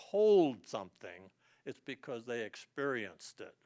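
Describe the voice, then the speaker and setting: This man's voice shows vocal fry and very wide pitch swings at a moderate pace, recorded with a dry, close sound and no echo. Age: 80s+. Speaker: war veteran and motivational speaker. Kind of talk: talk to students. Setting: online presentation to a class. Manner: conversational, with hesitations.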